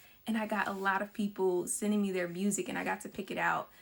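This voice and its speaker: At a fairly quick pace, a woman with an American accent speaks in a medium pitch. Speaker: filmmaker. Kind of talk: casual talk about own film. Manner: fast.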